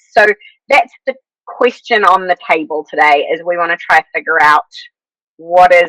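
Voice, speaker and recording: In a New Zealand accent, the speaker uses lively intonation and a bright, sharp tone at a moderate pace. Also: woman. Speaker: podcast host. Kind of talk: casual chat.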